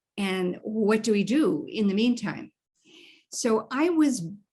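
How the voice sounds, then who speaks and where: On a very clean recording with a silent background, a woman speaks in a somewhat breathy, fairly high voice with lively intonation. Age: 80s+. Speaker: image consultant. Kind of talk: interview.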